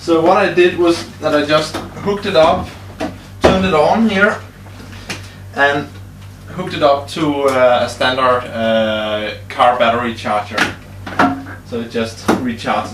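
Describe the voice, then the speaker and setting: A man with a Danish accent speaks at a fairly slow pace, with long, frequent pauses and very wide pitch swings. Noticeable background noise sits behind him. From Denmark. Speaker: hobbyist car builder. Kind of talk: tutorial. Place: workshop. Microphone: camera far.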